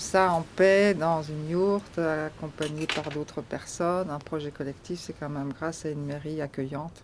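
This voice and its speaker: Hardly pausing, a woman speaks in a normal speaking voice with a fairly low pitch. Her loudness swings a great deal. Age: 60s. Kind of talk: testimony.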